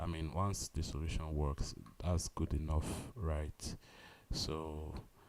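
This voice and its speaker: Speaking very slowly, a man with a very deep, low voice keeps his intonation fairly even. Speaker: coding livestreamer. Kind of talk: live coding stream. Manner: halting.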